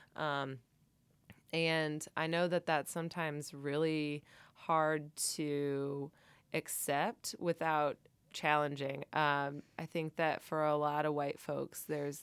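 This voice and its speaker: Very slow and monotone, a woman speaks with a very deep, low pitch in a Cincinnati accent. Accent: Cincinnati Midwestern, mild. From Cincinnati, Ohio. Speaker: church vestry member and committee member. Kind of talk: casual interview conversation. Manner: hesitant, filler-heavy, laughs often.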